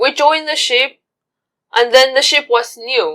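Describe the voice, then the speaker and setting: A woman with a Chinese accent speaks in a raised, projected voice. Her pitch is high and her tone bright and sharp. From China. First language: Mandarin Chinese. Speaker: cruise ship bar server. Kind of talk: interview.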